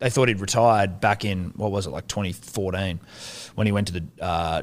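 Talking at a very fast pace, a man with an Australian accent keeps his fairly low pitch fairly even in intonation. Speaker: sports podcaster. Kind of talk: casual chat.

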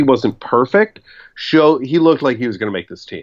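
Animated and fairly quick, a man talks with ordinary pitch variation. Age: 30s. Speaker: sports writer and podcast co-host. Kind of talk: casual chat.

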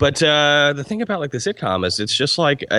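This man has an American accent and a bright, sharp tone. Vocal fry runs through his speech. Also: dry, close sound with no echo. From Albany, New York. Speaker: TV writer and podcast host. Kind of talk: casual chat. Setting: video call.

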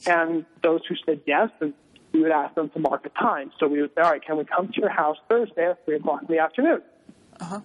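A man with an ordinary speaking voice, fairly high pitch, ordinary pitch variation, an American accent and a fairly quick pace. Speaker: former missionary. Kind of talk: interview.

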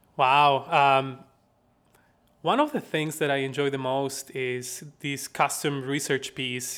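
A man with a Bolivian accent speaks at a fairly slow pace, his tone bright and sharp and his pitch fairly high, on a very clean recording with a silent background. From La Paz, Bolivia. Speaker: research analyst and impact director at a credit union research institute. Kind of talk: casual interview conversation.

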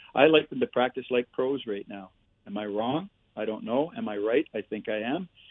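With a Canadian accent and an unremarkable speaking voice, a man talks at a moderate pace and medium pitch, with ordinary pitch variation and big swings in loudness. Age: 60s. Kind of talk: casual interview storytelling. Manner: chatty storyteller.

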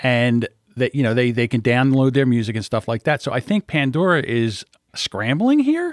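A man with an unremarkable speaking voice talks at a moderate pace and medium pitch. The recording is very clean with a silent background and a dry, close sound with no echo. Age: 50s. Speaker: podcast editor. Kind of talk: casual chat.

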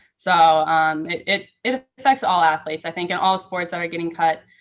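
Using a plain, everyday voice, a woman with a fairly low pitch speaks at a moderate pace with fairly even intonation. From Minnesota (Saint Michael). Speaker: college gymnast. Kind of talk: interview.

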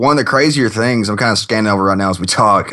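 A bright, sharp voice with a Southern US accent against a quiet background. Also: man. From Kentucky, US South. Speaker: software programmer, podcast guest. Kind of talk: casual chat.

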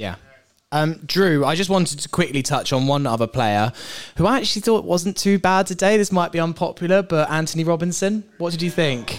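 A man speaks in an animated tone with a high pitch, a fairly quick pace and lively intonation, on a very clean recording with a silent background. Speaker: podcast host. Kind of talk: live podcast recording, casual banter. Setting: stage with live audience. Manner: animated, joking.

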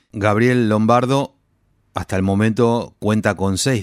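In a very clean recording with a silent background, a man with an unremarkable speaking voice talks at a fairly slow pace, fairly low in pitch, with fairly even intonation. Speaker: radio host. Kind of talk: radio presenting.

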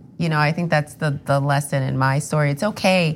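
In an American accent, a woman speaks with a very deep, low pitch. Her voice is somewhat breathy, with ordinary pitch variation. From US Northeast (New York area). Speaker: actor. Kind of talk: interview.

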